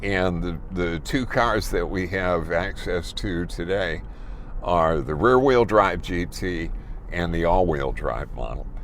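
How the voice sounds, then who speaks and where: A man with an American accent and a very deep, low pitch speaks at a very slow pace. His pitch varies in an ordinary way, and there is audible room echo. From US Midwest, Chicago. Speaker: car reviewer. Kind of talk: car review while driving.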